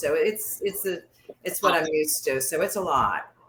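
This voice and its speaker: A woman with a fairly low pitch and lively intonation, over noticeable background noise. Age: 60s. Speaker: workshop participant. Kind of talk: casual sharing in group.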